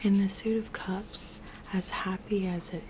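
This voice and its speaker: Whispering and soft-spoken, the voice moves at a very slow pace over noticeable background noise. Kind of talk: ASMR spell work and tarot talk to camera. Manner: soft-spoken, whispering.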